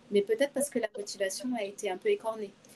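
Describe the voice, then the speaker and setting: Ordinary pitch variation at a fairly quick pace. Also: woman. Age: 50s. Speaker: HR director. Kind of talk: interview. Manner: hesitant, many fillers.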